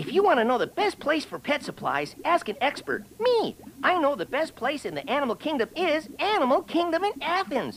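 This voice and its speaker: A put-on character voice talks at a high pitch and a moderate pace, with hardly any pauses. Clear background noise can be heard. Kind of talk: radio commercial. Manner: cheerful, salesy.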